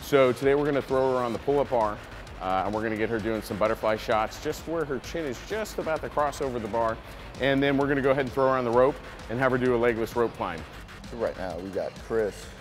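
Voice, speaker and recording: Faint music plays in the background as a man speaks at a very fast pace. His pitch variation is ordinary. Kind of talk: interview answer. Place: gym.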